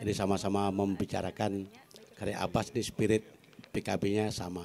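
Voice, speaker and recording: Speaking at a fairly slow pace, a man has a dark, mellow tone. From Bali, Klungkung; Bali, Indonesia. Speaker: academic and poet; panelist. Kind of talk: panel talk. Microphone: handheld.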